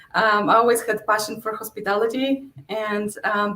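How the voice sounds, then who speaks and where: A woman's fairly high voice with a Polish accent and monotone, flat intonation. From Poland. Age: 40s. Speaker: real estate investor. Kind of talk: interview.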